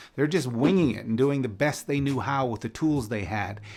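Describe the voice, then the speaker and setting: A man with a Canadian accent and music in the background. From Canada. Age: 50s. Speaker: author and motivational speaker. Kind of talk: scripted advice monologue.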